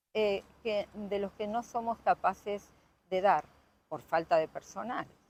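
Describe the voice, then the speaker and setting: At a fairly slow pace, a woman speaks with an Argentine accent and a medium pitch with ordinary variation. The sound is dry and close with no echo. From Argentina. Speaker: local politician and doctor. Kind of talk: interview.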